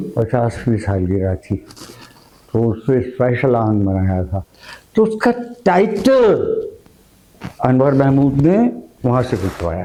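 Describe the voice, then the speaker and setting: Against noticeable background noise, a man speaks with very wide pitch swings. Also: medium pitch for a man. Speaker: veteran radio broadcaster and producer being interviewed. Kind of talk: interview answer, storytelling about past radio work.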